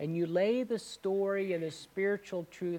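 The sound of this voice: Unforced reading with fairly even intonation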